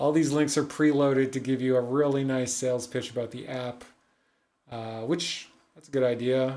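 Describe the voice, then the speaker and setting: A man of medium pitch at a moderate pace, with audible room echo. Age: 40s. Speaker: digital advertising agency owner reviewing ads. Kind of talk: livestream ad review commentary. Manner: casual, thinking aloud with fillers.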